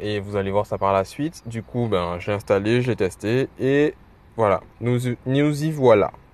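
Speaking at a very slow pace, a man uses a medium pitch and ordinary pitch variation. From Guadeloupe. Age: 20s. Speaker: web developer and podcaster. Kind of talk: casual solo monologue. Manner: hesitant, many fillers.

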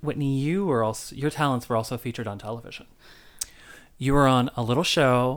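A man with an ordinary speaking voice at a medium pitch, fairly quick pace and ordinary pitch variation. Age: 30s. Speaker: podcast host. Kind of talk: casual chat.

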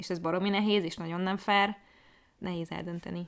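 Fairly quick, monotone female speech at medium pitch with flat intonation, on a very clean recording with a silent background. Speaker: podcast co-host. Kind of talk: casual chat.

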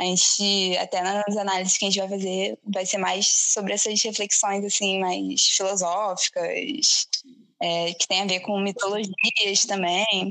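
The speaker is a woman with a monotone, flat intonation. She talks at a fairly slow pace. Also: medium pitch for a woman. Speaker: podcast host. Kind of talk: casual chat.

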